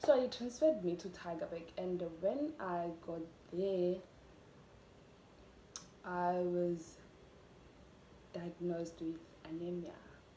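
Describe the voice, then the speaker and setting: Through noticeable background noise, a woman speaks very slowly at a fairly low pitch with ordinary pitch variation and long, frequent pauses. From South Africa. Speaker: YouTuber. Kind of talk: casual talk to camera.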